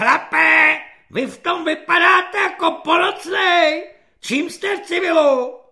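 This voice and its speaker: In a put-on character voice, the speaker uses an extremely high pitch and a raised, projected delivery. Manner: loud, mocking.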